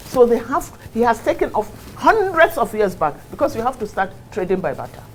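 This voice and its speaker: A woman with a northern Nigerian accent speaks fairly quickly in an animated tone, at a fairly high pitch with very wide pitch swings. Noticeable background noise runs underneath. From Nigeria, Kano. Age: 60s. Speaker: politician. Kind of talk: interview. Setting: studio.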